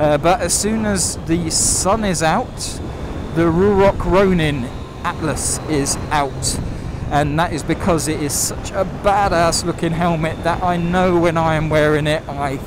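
At a fairly slow pace, a man talks with ordinary pitch variation in a dry sound with no echo, over noticeable background noise. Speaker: motorcycle rider reviewer. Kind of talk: casual vlog chat. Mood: relaxed, upbeat. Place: motorbike. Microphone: helmet.

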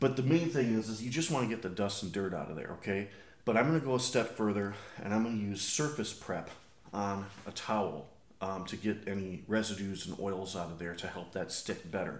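A man talks at a fairly quick pace with lively intonation and a fairly low pitch. Room echo is audible. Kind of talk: tutorial. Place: garage. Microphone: camera far.

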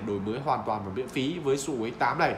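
A man talks at a fast pace. Background noise is clearly audible.

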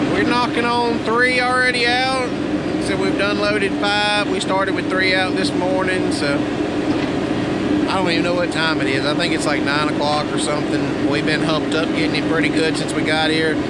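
The pace is moderate and the sound is dry with no echo. Loud background noise runs throughout. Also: man. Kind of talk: casual vlog chat. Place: forest. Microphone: phone near.

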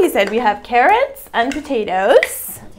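A woman speaks at a fairly high pitch. Her voice swings widely up and down.

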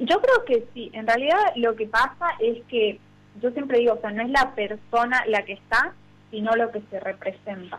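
A woman with a normal speaking voice speaks at a fairly high pitch with ordinary pitch variation. Her loudness swings widely. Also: moderate pace. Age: 20s. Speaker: provincial legislator. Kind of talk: radio interview.

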